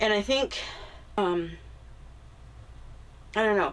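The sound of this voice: With lively intonation, a woman speaks in a nasal voice at a fairly low pitch.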